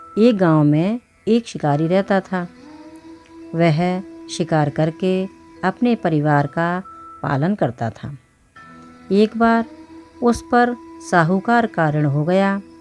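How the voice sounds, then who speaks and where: Someone speaks with lively intonation and long, frequent pauses while music plays in the background. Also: woman, fairly low pitch for a woman. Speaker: voice over artist. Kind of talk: religious story narration.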